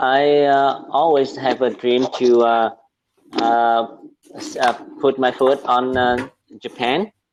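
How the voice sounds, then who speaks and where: A man speaks very slowly, with long, frequent pauses. His medium-pitched voice keeps a fairly even intonation. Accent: Vietnamese. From Vietnam. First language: Vietnamese. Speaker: medical student, English learner. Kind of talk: casual chat. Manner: halting, many fillers.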